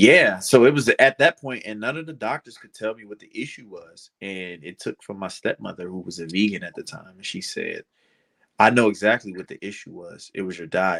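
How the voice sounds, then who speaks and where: A man with a normal speaking voice talks at a fairly quick pace with a fairly low pitch. His intonation is lively, and his loudness swings widely. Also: dry, close sound with no echo. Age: 20s. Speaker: pro wrestler. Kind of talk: casual chat.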